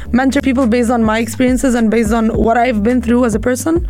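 With an Arabic accent, a woman speaks at a fairly high pitch amid noticeable background noise and audible room echo. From Egypt. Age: 20s. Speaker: professional squash player and coach. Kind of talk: radio interview.

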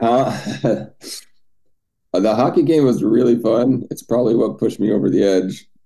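A man speaks at a moderate pace and medium pitch, in a dark, mellow tone with vocal fry. His pitch swings very widely, and he leaves long, frequent pauses. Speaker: video call group host. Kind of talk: casual chat.

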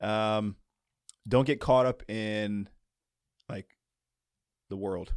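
A man with a fairly low pitch speaks with fairly even intonation in a dry, close sound with no echo. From US East Coast, moved around. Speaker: former pro basketball player and basketball trainer. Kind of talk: casual interview.

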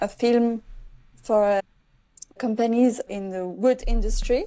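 A woman's fairly high, dark and mellow voice with a French accent, at a fairly slow pace. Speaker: filmmaker. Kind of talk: interview. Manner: halting.

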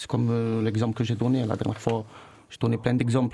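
A man speaks with a dark, mellow tone. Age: 20s. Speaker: former student. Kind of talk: casual chat. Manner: halting.

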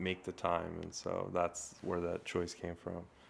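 A man with a Californian accent speaks in a very deep, low voice. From Glendale, California. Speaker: illustrator and muralist. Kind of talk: casual chat. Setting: studio.

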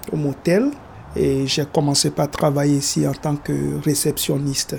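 This is a man speaking. His pitch is fairly high. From Togo. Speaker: motel receptionist. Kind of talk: documentary interview.

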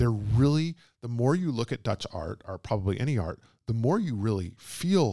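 Heard in a very clean recording with a silent background and a dry, close sound with no echo, a man with an American accent talks at a moderate pace in a medium pitch with lively intonation. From Texas (Houston). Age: 40s. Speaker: biographer and translator. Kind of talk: live book talk conversation. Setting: bookshop event with audience.

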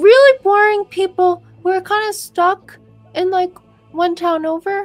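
A woman's put-on character voice, extremely high-pitched, with faint music behind it. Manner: innocent, curious, hesitant, a little goofy.

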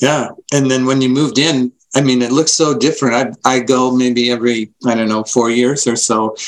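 This man has a normal speaking voice at medium pitch. He keeps a moderate pace with ordinary pitch variation. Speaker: podcast co-host. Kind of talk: casual interview.

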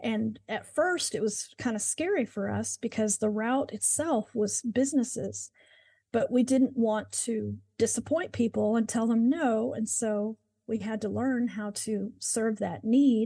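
A woman speaks at a fairly slow pace with a somewhat breathy, dark, mellow tone and ordinary pitch variation. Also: fairly high pitch for a woman. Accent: American. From Oklahoma (Moore). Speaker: window cleaning business owner. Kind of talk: interview.

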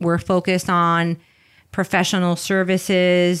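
On a very clean recording with a silent background, a woman speaks at a fairly slow pace and fairly low pitch with a slight New York accent. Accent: light New York. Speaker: entrepreneur and business coach. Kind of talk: interview.

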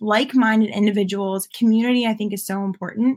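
Somewhat breathy and fairly high in pitch, a woman speaks with fairly even intonation in a dry, close sound with no echo. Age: 20s. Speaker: entrepreneur, founder of a mental wellness care package company. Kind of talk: casual interview.

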